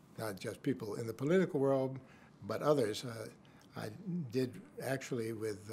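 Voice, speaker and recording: A man speaks fairly slowly in a somewhat breathy voice. His pitch is medium, with ordinary variation. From New York City. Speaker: former government official and lawyer. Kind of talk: interview answer.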